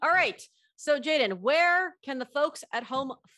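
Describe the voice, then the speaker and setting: The voice is raised and projected, bright and sharp in tone, animated and upbeat, with lively intonation and a fairly slow pace. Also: woman. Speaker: podcast host. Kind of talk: casual interview chat. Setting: remote call. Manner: animated, upbeat.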